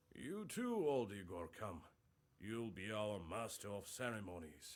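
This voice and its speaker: In a put-on character voice, a man speaks fairly slowly, raspy and fairly low in pitch. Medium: video game. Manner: earnest, polite.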